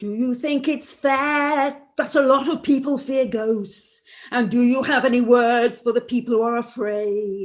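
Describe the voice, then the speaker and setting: A put-on character voice, female-sounding and high-pitched. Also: moderate pace. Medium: audio drama.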